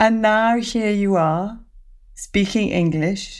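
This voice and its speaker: At a very slow pace, the speaker talks in a British accent with ordinary pitch variation. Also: woman. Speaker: psychotherapist and podcast host. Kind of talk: interview, empathetic conversation.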